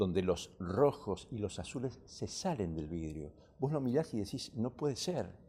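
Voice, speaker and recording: A man's fairly low voice with a dark, mellow tone and very wide swings in pitch. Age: 60s. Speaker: stained-glass restorer. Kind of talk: TV interview. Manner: halting.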